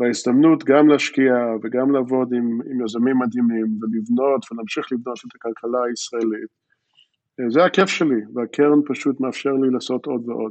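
At a moderate pace, a man with an American accent speaks at a medium pitch with fairly even intonation. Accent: American English accent in Hebrew. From Philadelphia, US, moved to Jerusalem at age eight. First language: English (speaking Hebrew). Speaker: venture capital investor and tech entrepreneur. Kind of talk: interview. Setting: remote interview from home. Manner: hesitant, with fillers.

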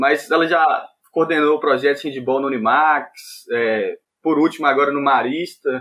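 This man has an ordinary speaking voice, pitched fairly high for a man, and talks at a moderate pace with fairly even intonation. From Montes Claros, northern Minas Gerais, Brazil. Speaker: handball player and physical education student. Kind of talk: casual interview.

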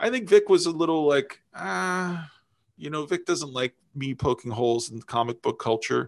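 A man's fairly high-pitched voice at a moderate pace over a quiet background. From upstate New York. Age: 50s. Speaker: video game reviewer and podcaster. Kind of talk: casual interview. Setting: remote call. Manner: halting, many false starts.

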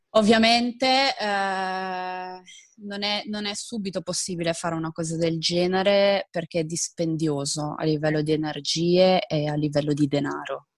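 On a very clean recording with a silent background, a woman speaks at a fairly slow pace. She has an ordinary speaking voice, fairly low in pitch with ordinary pitch variation. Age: 20s. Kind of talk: interview.

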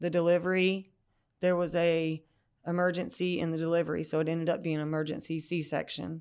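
On a very clean recording with a silent background, a woman in a Southern US accent speaks at a fairly quick pace and fairly low pitch, in a monotone, flat intonation. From US South, rural Georgia. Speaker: recovering addict sharing her story. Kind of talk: personal testimony.

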